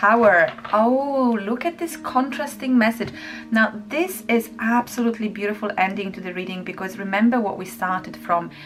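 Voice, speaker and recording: Ordinary pitch variation at a moderate pace over music in the background. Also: woman, fairly high pitch for a woman. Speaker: tarot reader. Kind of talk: tarot reading to camera.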